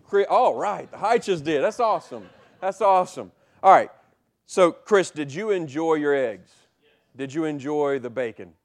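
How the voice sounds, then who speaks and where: With a plain, everyday voice, a man of fairly high pitch speaks at a moderate pace with lively intonation against a quiet background. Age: 40s. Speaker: pastor. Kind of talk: sermon. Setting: church.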